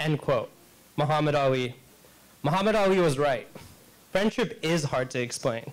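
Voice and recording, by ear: The delivery keeps a moderate pace and lively intonation. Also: man, fairly high pitch for a man.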